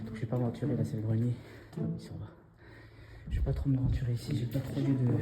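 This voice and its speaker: A soft-spoken man with medium pitch talks at a very fast pace. Noticeable background noise is present. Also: lively intonation. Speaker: skateboarding vlogger. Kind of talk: vlog narration. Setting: abandoned hospital indoors. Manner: quiet, speaking softly; hesitant, filler words.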